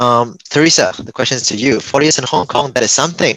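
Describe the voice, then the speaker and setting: A man talks in a normal speaking voice at medium pitch, with ordinary pitch variation and a fairly quick pace. The sound is dry and close, with no echo. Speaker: workshop moderator. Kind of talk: panel discussion.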